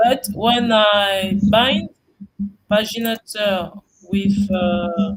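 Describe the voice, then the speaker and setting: Very slow speech with a non-native accent. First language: not English. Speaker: web app builder attending office hours. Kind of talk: casual tech support chat. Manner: halting.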